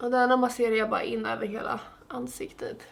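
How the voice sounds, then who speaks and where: A woman speaks with a Stockholm accent. Her voice is fairly high in pitch, with a bright, sharp tone. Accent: Stockholm Swedish. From Sweden, Stockholm. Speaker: beauty vlogger. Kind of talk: makeup tutorial. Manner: casual, chatty.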